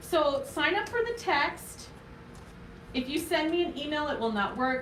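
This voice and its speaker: A woman speaks loudly amid audible room echo and noticeable background noise. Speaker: craft tutorial host, small business owner. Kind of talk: live craft tutorial. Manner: casual, chatty with filler words.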